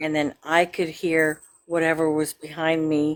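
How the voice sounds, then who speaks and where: A woman is talking. Her pitch is very deep and low. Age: 60s. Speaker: caller sharing paranormal story. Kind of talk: casual storytelling.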